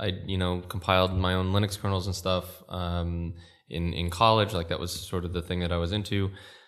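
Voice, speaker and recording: A man's very deep, low voice at a fairly quick pace, monotone and flat in intonation. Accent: American. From California. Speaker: tech entrepreneur. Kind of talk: interview. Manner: halting.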